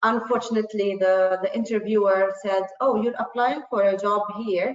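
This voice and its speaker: Speaking at a moderate pace, a woman uses fairly even intonation and a fairly high pitch. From Jordan. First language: Arabic. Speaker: panelist. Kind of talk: panel discussion.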